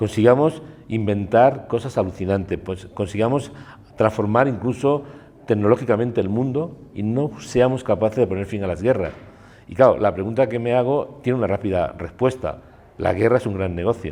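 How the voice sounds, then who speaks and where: A man talks with a Spanish accent at a moderate pace. His pitch varies in an ordinary way. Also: medium pitch for a man. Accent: Peninsular Spanish. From Spain. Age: 60s. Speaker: war photographer. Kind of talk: interview. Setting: cultural centre.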